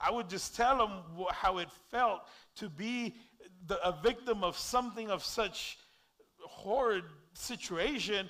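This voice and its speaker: A man's raised, projected voice, high-pitched, bright and sharp, with lively intonation. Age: 40s. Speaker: pastor. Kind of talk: sermon.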